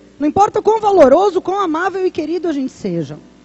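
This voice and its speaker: Against noticeable background noise, a woman with an extremely high voice talks at a fairly quick pace with ordinary pitch variation. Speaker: pastor. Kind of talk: sermon.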